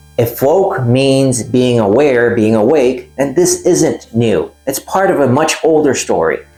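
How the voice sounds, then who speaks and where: A man talks fairly slowly at a medium pitch, with ordinary pitch variation and hardly any pauses. His loudness stays very even as music plays in the background. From Puerto Rico. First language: Spanish. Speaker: YouTuber, artist and tarot commentator. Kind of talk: personal video essay.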